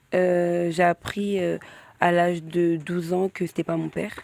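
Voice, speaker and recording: The woman's fairly low voice stays monotone and flat at a fairly slow pace, recorded dry and close with no echo. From Île-de-France. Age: 20s. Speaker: interview guest. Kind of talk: personal testimony. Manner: halting, many fillers.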